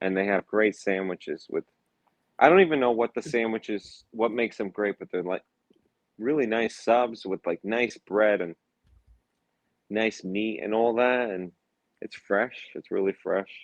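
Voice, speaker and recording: Pausing long and often, a man with a Brooklyn accent speaks at a fairly slow pace and medium pitch with ordinary pitch variation, the sound dry and close with no echo. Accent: Brooklyn New York. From Florida. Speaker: comedian. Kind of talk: casual chat. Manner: halting.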